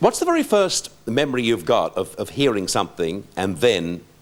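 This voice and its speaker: The voice belongs to a man with an Australian accent. His tempo is medium. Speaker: TV talk show host. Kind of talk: talk show host introduction and questions.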